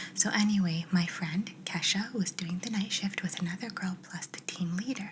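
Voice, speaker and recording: Soft-spoken and at medium pitch, a woman talks at a fairly quick pace with fairly even intonation over noticeable background noise. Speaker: ASMR creator. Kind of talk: reading aloud.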